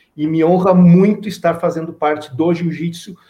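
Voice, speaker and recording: The voice is a man's, dark and mellow in tone. He keeps a moderate pace. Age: 40s. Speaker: social sports project coordinator. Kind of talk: interview.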